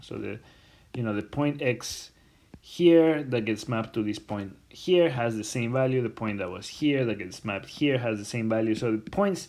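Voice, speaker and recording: A man at a medium pitch with ordinary pitch variation, with audible room echo. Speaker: university lecturer. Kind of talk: recorded lecture. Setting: self-recorded lecture video. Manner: slow; halting, many fillers.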